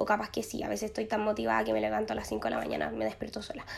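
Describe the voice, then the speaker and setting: The woman talks at a very fast pace. Noticeable background noise can be heard. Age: 20s. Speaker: podcast host. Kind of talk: casual monologue. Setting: empty glass-walled office. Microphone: possible echo in empty room.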